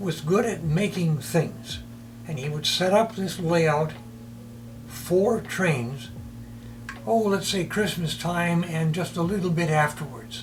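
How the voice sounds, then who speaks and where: Amid noticeable background noise and audible room echo, a man with a fairly high voice speaks very slowly with lively intonation and long, frequent pauses. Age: 80s+. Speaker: retired teacher, model train hobbyist. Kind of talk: documentary interview, personal storytelling.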